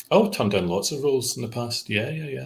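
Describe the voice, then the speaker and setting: A man with a British accent talks at a very fast pace with lively intonation. His medium-pitched voice is somewhat breathy. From England. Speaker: actor. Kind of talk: interview answer.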